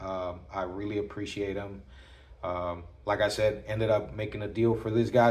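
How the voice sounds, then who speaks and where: A man with a fairly low, somewhat breathy voice keeps his intonation fairly even, with audible room echo around him. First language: not English. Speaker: knife collector YouTuber. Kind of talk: casual show-and-tell video. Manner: halting, many fillers.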